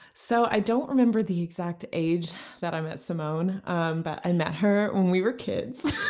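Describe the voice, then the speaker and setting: Lively intonation in an American accent at a moderate pace, with noticeable background noise. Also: woman, medium pitch for a woman. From Texas, Houston. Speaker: dietitian. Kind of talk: casual chat.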